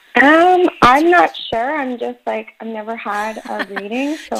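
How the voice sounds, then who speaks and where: Over noticeable background noise, a woman with a high pitch talks at a fairly slow pace with lively intonation. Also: big swings in loudness. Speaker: caller seeking a psychic reading.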